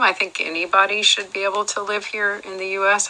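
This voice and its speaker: A woman speaks over noticeable background noise. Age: 60s. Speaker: role-play juror. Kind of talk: role-play interview. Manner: hesitant, many fillers.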